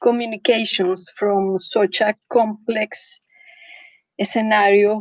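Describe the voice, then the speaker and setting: A woman with a Spanish accent, fairly high in pitch, speaking in a monotone, flat intonation at a very slow pace. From Venezuela. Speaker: humanitarian adviser. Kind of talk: work meeting discussion. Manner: halting.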